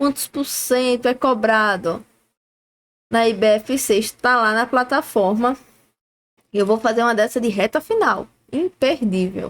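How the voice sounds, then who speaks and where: At a fairly high pitch, a woman talks at a fairly slow pace with ordinary pitch variation. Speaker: exam-prep teacher. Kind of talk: live-streamed review class. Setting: livestream.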